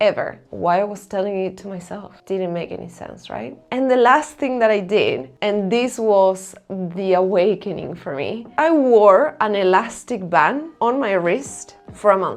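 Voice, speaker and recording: With an Argentine accent, a woman speaks at a fairly slow pace with hardly any pauses, lively intonation, medium pitch and big swings in loudness. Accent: non-native English, Argentine Spanish. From Argentina. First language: Spanish. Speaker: self-help vlogger. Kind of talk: personal vlog talk to camera.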